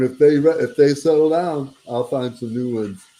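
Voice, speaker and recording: A man with an American accent, a dark, mellow tone and a fairly high pitch, at a moderate pace with ordinary pitch variation. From Detroit, US Midwest. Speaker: country singer-songwriter. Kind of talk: casual interview chat.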